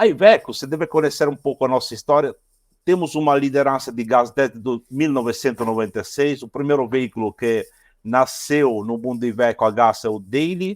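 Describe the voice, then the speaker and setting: In an Italian accent, the speaker talks at a fairly quick pace with ordinary pitch variation, on a very clean recording with a silent background and a dry, close sound with no echo. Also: man, medium pitch for a man. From Italy. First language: Italian (speaking Portuguese). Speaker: automotive engineer, product innovation manager. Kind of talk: podcast interview. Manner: halting.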